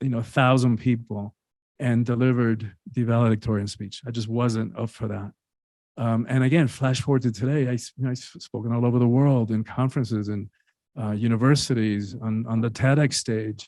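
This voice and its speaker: Speaking at a fairly quick pace with a Spanish accent, a man uses a medium pitch, a dark, mellow tone and fairly even intonation on a very clean recording with a silent background. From Cuba. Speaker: author and speaker. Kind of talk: interview.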